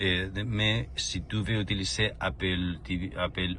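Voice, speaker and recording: This man speaks with a Spanish accent. His pitch is very deep and low. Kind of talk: casual car presentation while driving. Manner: hesitant, searching for words.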